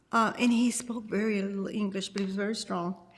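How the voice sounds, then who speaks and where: Fairly quick speech from a woman at medium pitch, with an American accent and fairly even intonation, over noticeable background noise. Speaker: longtime resident. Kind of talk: oral history interview.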